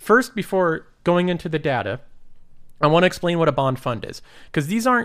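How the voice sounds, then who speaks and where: A man's plain, everyday voice at a moderate pace, lively in intonation, on a very clean recording with a silent background. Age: 20s. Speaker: investing YouTuber. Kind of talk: casual solo commentary.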